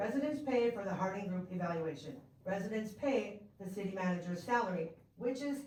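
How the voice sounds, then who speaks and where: A woman of medium pitch speaks at a moderate pace with ordinary pitch variation, amid audible room echo and noticeable background noise. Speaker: resident giving public comment. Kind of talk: public comment at council meeting. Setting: city council meeting.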